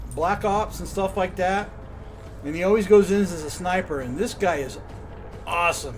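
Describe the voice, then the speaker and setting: Over background music, a man talks at a moderate pace with a high pitch and ordinary pitch variation. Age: 60s. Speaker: video game streamer. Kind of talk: live gameplay commentary. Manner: casual, chatty.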